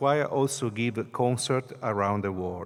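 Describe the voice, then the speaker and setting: A man speaks at a moderate pace in an Italian accent, with ordinary pitch variation. The recording is very clean, with a silent background. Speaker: priest and choir director. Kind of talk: conference talk. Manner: halting.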